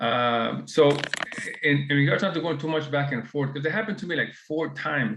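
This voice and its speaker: A man speaks fairly quickly at a medium pitch, with ordinary pitch variation. Vocal fry runs through his voice. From Mexico. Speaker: webinar participant. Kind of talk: personal anecdote in group discussion. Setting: video call.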